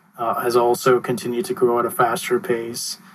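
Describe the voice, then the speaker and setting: Noticeable background noise runs under a man's voice, which is pitched at a medium level. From Mumbai, India. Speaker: clean energy consultant. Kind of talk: interview. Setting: call. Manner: frequent filler uh.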